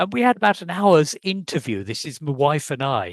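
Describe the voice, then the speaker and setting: A man with an English accent speaks at a moderate pace with very wide pitch swings. The sound is dry and close with no echo, over a quiet background. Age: 70s. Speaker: adoptee searching for birth family. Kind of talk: casual interview chat.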